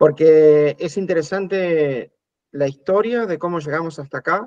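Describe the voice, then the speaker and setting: A man with a fairly high pitch at a fairly slow pace, ordinary pitch variation, and a dry, close sound with no echo. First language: Spanish (speaking French). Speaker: spiritual teacher. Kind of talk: talk in short segments for interpretation.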